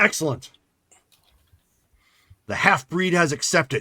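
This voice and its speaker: In a put-on character voice, a man sounds raspy and fairly high-pitched, speaking at a moderate pace on a very clean recording with a silent background. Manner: menacing, gloating.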